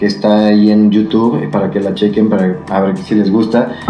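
A man speaks in a Mexican accent at a moderate pace. Music plays in the background, and there is audible room echo. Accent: Mexican Spanish (Jalisco). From Mexico, Jalisco (Tepatitlán). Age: 30s. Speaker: singer and performer. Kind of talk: casual interview chat.

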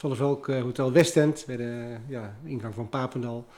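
The man's intonation stays fairly even while noticeable noise runs in the background. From Netherlands, Liemers (Gelderland). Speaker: restaurant owner. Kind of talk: interview. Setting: at his restaurant.

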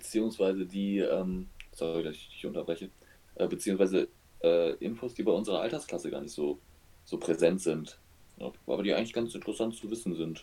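A man with a fairly low pitch and a dark, mellow tone speaks at a fairly quick pace. His pitch varies an ordinary amount, and he takes long, frequent pauses. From western Germany, Oberbergisches Land. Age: 20s. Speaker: podcast co-host. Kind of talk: casual chat.

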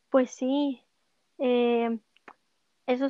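Her voice is high-pitched, and this woman keeps her intonation fairly even. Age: 20s. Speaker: musician. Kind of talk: casual interview. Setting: remote call.

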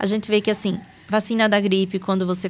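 Her intonation stays monotone and flat as this woman speaks. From Sergipe, northeastern Brazil (Aracaju). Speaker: geriatrician. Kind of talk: casual interview.

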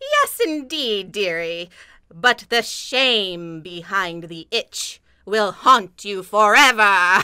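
In a put-on character voice, a female-sounding speaker talks very slowly at a medium pitch for a woman. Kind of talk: comic spooky overacting. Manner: theatrical incantation, creepy.

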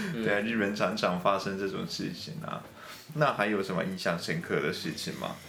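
In a room with audible echo and noticeable background noise, a man speaks in a fairly low voice with lively intonation. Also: fairly quick pace. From Japan. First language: Japanese (speaking Chinese). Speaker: radio host. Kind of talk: casual chat.

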